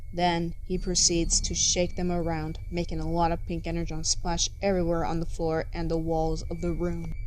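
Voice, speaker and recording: A woman speaks at a moderate pace with hardly any pauses, against noticeable background noise. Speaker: fanfiction narrator. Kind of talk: fiction reading.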